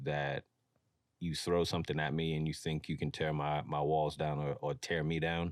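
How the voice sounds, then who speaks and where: A man's very deep, low-pitched voice. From New York, Mount Vernon. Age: 30s. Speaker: streetwear brand founder. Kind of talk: podcast interview. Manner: casual.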